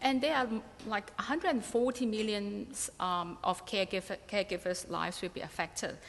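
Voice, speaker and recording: At a fairly quick pace, a woman with a Cantonese accent speaks at a fairly high pitch with ordinary pitch variation. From Hong Kong. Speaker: researcher. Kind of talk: conference presentation. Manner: halting, many fillers.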